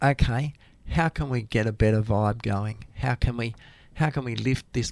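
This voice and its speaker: A man with an Australian accent, speaking at a moderate pace. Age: 60s. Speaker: community radio presenter and retired science teacher. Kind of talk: casual interview chat. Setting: radio studio. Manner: animated.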